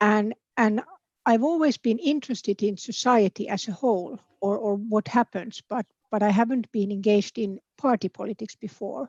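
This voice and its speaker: A woman with a Finnish accent and a fairly high pitch. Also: ordinary pitch variation, moderate pace, dry, close sound with no echo. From Finland. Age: 50s. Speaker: political candidate. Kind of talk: interview. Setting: online video event. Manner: hesitant, repeats words.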